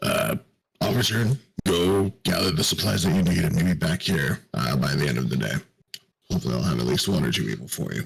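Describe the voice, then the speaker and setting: A man puts on a raspy character voice with a very deep, low pitch, very wide pitch swings, very even loudness and a fairly quick pace. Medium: actual play. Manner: hesitant, halting.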